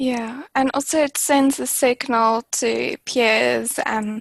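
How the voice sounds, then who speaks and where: A woman speaks with a South African accent at a fairly high pitch. The sound is dry and close, with no echo. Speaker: climate target specialist. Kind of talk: webinar panel discussion. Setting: online webinar.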